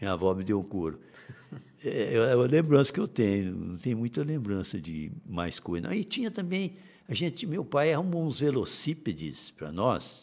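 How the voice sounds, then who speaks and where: Speaking at a moderate pace, a man swings his pitch very widely on a very clean recording with a silent background. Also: medium pitch for a man. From Minas Gerais, Brazil. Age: 70s. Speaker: teacher and writer. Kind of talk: interview. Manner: halting.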